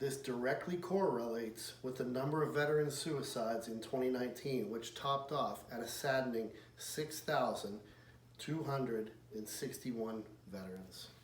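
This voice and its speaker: A man with an American accent talks at a moderate pace amid noticeable background noise and audible room echo. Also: medium pitch for a man, ordinary pitch variation. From Pittsburgh, western Pennsylvania, US. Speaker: military veteran, field service manager. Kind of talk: persuasive speech, read from script. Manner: formal.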